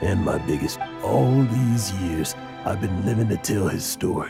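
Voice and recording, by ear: A man puts on a character voice, low in pitch with a dark, mellow tone and some vocal fry. His intonation is lively, and faint music plays in the background. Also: fairly slow pace.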